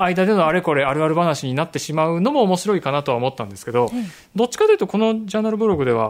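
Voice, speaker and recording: A high-pitched man talking very fast, with very wide pitch swings. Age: middle-aged. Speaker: photographer and podcast host. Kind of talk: casual chat.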